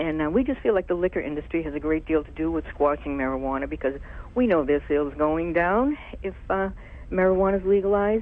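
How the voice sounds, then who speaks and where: Very fast speech from a woman with a very deep, low voice. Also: ordinary pitch variation. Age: 60s. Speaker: caller. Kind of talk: call-in comment.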